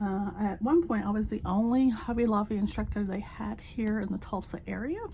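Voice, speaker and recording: A woman talks at a fairly high pitch while background noise remains noticeable. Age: 50s. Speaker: crafting vlogger, retired Air Force veteran. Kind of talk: casual chat. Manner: halting, with many fillers.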